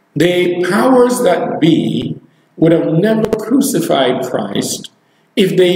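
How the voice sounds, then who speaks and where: Very slow and high-pitched, a man's voice comes with audible room echo and light background noise. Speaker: preacher. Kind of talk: live online sermon, preaching and prayer. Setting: live video stream. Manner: animated, exclamatory, fervent; rhetorical, repeats phrases for emphasis. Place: church.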